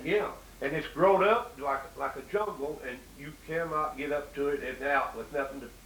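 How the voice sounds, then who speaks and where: Amid noticeable background noise, a man with an Appalachian accent speaks at a fairly high pitch with big swings in loudness. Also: ordinary pitch variation, moderate pace. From Southwest Virginia, Appalachia. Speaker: interviewer.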